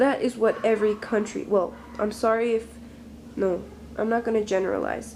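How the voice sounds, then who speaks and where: A woman speaks at a moderate pace in a fairly high voice. Her intonation stays fairly even. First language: not English. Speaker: vlogger. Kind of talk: opinion vlog monologue. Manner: halting.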